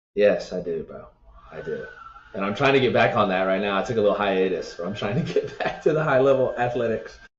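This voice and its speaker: In an American accent, a man talks at a very fast pace with big swings in loudness. Audible room echo surrounds his voice. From Atlanta, Georgia, US South. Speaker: entrepreneur and former college football player. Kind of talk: casual interview.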